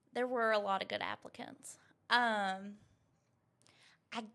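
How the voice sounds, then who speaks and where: Talking at a fairly slow pace in a Southern US accent, a woman has a fairly high pitch, a bright, sharp tone and fairly even intonation. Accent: Southern US twang. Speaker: interview guest discussing customer service. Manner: halting, repeats words while searching for phrasing.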